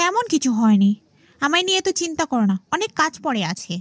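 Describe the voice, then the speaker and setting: A female-sounding voice performs a cartoonish character at a high pitch with very wide pitch swings. The pace is moderate. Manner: soft, respectful.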